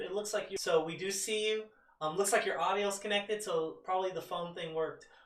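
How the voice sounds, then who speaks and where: Over noticeable background noise, the speaker talks with an American accent. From Georgia. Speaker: online show host. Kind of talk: casual chat. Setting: video call.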